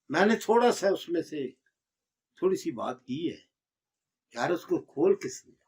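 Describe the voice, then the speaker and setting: Long pauses come often as a man talks. His volume rises and falls sharply. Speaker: herbal medicine teacher. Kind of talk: lecture. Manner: forceful.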